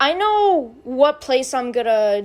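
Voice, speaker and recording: A woman mumbles at a very slow pace. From US. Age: young. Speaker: youtuber. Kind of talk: casual vlog. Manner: mumbling.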